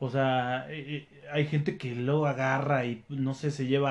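A man speaks with a Mexican accent. His voice is fairly high in pitch, with fairly even intonation. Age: 30s. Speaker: sales manager and trail runner. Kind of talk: casual interview.

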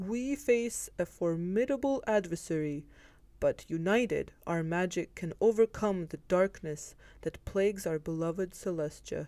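Her voice has a dark, mellow tone with lively intonation. The woman speaks at a fairly slow pace. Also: medium pitch for a woman. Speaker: podcast host. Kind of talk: scripted story reading then casual chat.

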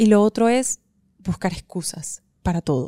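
Over background music, a woman speaks in a dry, close sound with no echo. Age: 30s. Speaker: podcast host and writer. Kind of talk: motivational monologue. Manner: hesitant fillers.

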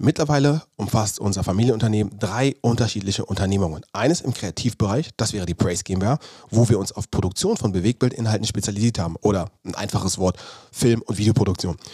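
This man talks at a very fast pace in a fairly low, somewhat breathy voice with a dark, mellow tone and ordinary pitch variation. The sound is dry and close, with no echo. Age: 30s. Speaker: podcast host, former pro footballer and performance coach. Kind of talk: solo podcast monologue.

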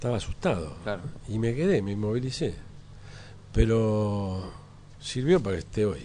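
A man speaks with fairly low pitch and lively intonation, leaving long, frequent pauses. Room echo is audible. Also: moderate pace. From Argentina, Buenos Aires area. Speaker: photographer. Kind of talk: interview. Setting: café.

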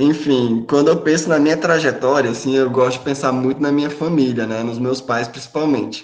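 This man, at medium pitch, has an unremarkable speaking voice and talks at a fairly quick pace with hardly any pauses and fairly even intonation. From Brasília, Brazil. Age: 30s. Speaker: podcast panelist. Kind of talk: personal testimony.

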